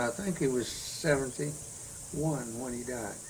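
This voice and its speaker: Noticeable background noise runs under this recording. A man with an American accent speaks at medium pitch. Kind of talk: oral history interview answer. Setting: at home.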